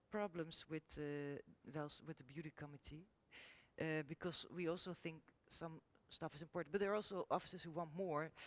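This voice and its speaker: The voice has a Dutch accent. Its intonation stays fairly even. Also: woman. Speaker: architect. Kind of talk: panel discussion. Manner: halting.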